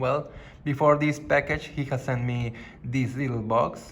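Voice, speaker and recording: A man with a non-native accent speaks at a fairly slow pace with fairly even intonation. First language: not English. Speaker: gaming YouTuber. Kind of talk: unboxing video.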